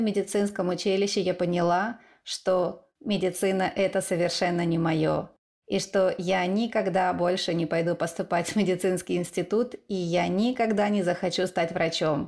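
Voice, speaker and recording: At a moderate pace, a woman with a normal speaking voice and medium pitch speaks with fairly even intonation. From eastern Ukraine. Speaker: podcast host. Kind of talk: scripted narration.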